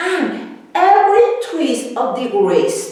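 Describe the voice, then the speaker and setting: With a Mexican accent, a woman speaks at a very slow pace with very wide pitch swings, amid audible room echo and noticeable background noise. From Mexico. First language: Spanish. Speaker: dancer and independent researcher. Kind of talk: lecture. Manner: halting.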